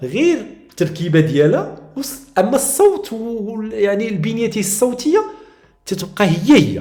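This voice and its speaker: Here a man with a high, dark and mellow voice speaks at a fairly slow pace. His pitch swings very widely, and the room echo is audible. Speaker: teacher. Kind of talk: tutorial. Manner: halting.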